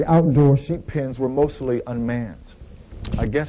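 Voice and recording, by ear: Someone is reading aloud in a natural voice, and the pitch shifts in an ordinary way.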